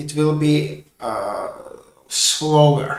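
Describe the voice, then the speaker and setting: This man's voice sits at a fairly high pitch. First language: not English. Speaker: game developer streamer. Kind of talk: coding livestream tutorial. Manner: halting.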